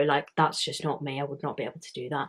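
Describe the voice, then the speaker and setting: This is a woman speaking with a British accent. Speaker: YouTuber. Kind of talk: casual vlog talk. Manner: casual, filler-heavy.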